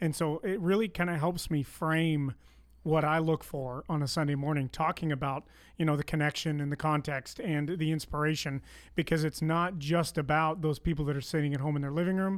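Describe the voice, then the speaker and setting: A slight Canadian accent comes through at a fairly quick pace with fairly even intonation, on a very clean recording with a silent background. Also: man, fairly high pitch for a man. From Canada. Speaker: school administrator and volunteer video director. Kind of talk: casual chat.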